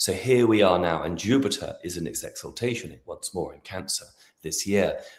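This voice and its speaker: A man with a British accent speaks at a moderate pace, his loudness swinging widely. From Britain. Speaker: astrologer. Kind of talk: interview conversation.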